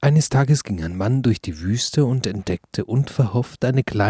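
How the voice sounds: Natural voice for reading, a natural reading voice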